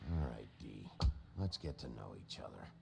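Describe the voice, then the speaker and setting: A man puts on a growling character voice at a moderate pace. Clear background noise runs behind him. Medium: video game. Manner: gruff, blunt.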